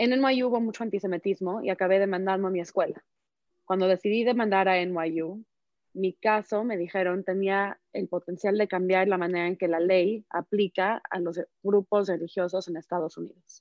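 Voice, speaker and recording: The delivery comes at a moderate pace with fairly even intonation, in an ordinary speaking voice. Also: woman, medium pitch for a woman. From Mexico. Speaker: activist speaker. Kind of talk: panel discussion.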